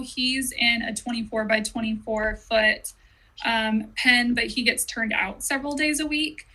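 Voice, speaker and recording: A woman's high-pitched voice in an American accent, bright and sharp in tone, at a fairly slow pace. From Southern California. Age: 30s. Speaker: horse owner. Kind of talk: casual interview.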